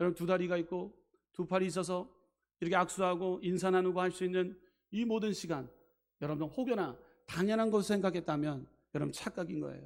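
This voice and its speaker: On a very clean recording with a silent background, a high-pitched man talks at a fairly quick pace, stopping for long, frequent pauses. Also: ordinary pitch variation. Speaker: pastor. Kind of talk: sermon. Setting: church.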